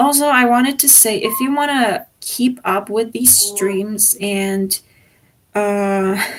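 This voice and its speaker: Her voice is somewhat breathy. The woman's pitch sits fairly high. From Czech Republic. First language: Czech. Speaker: exchange student livestreamer. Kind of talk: casual livestream chat. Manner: hesitant, many fillers.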